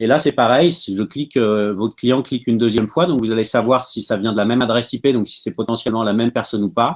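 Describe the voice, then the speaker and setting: A medium-pitched man at a very fast pace with hardly any pauses, dry and close with no echo, over a quiet background. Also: ordinary pitch variation. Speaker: startup tools speaker. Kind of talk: webinar presentation.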